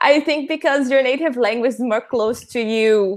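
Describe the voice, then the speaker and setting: On a very clean recording with a silent background, a woman with a Portuguese accent speaks at a moderate pace with lively intonation. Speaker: patron participant. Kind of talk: casual chat. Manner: hesitant.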